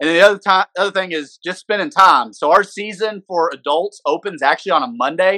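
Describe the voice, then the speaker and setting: Dry and close with no echo, this bright, sharp voice moves at a fairly quick pace with ordinary pitch variation. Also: man. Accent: Arkansas. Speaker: podcast co-host, hunter. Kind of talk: casual chat.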